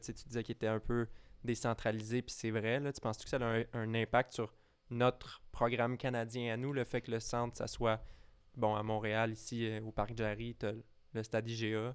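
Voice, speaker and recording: Speaking in a Quebec accent, a man keeps a medium pitch and a monotone, flat intonation at a moderate pace. The recording is very clean, with a silent background. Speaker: tennis podcast co-host. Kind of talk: casual chat.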